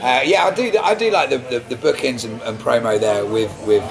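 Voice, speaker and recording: There is noticeable background noise. The speech moves at a fairly quick pace. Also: man. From England, Braintree, Essex. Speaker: folk singer-songwriter. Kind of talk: casual interview. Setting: corner of a restaurant.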